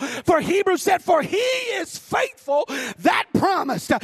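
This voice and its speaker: Shouting at an extremely high pitch, a man sounds animated with lively intonation, in a dry, close recording with no echo but noticeable background noise. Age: 40s. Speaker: preacher. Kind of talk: sermon. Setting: church with congregation. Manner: animated, exhorting the congregation, call-and-response; fervent, rhythmic.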